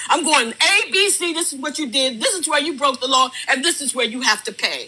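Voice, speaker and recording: A woman with a high pitch projects a raised voice at a fairly quick pace against noticeable background noise. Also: lively intonation. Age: 70s. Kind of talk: heated debate.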